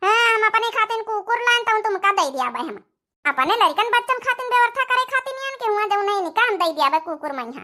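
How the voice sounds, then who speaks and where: This cartoonish character voice sounds female and sits at an extremely high pitch. It races along at a very fast pace. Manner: brash, cunning.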